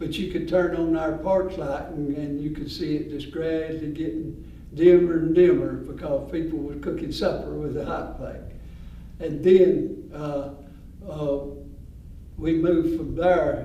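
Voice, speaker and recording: A man with a Georgia accent speaks fairly slowly in a fairly high pitch and a monotone, flat delivery. Noticeable background noise and audible room echo surround him. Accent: Southern US, Georgia. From US South, north Georgia mill village. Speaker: former mill village resident. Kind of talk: oral history interview. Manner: halting, many fillers.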